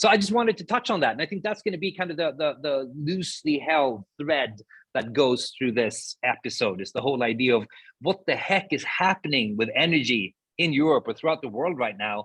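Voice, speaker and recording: A man speaks with a Swedish accent. His pace is fairly quick, and his pitch swings very widely. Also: fairly high pitch for a man. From Sweden. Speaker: podcast co-host, sustainability speaker. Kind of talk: casual conversation.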